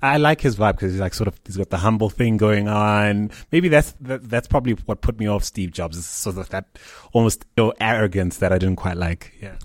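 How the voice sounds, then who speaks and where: In an ordinary speaking voice, a man talks at a moderate pace with hardly any pauses, his pitch fairly low with ordinary variation. The recording is very clean, with a silent background. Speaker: interviewer. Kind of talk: interview.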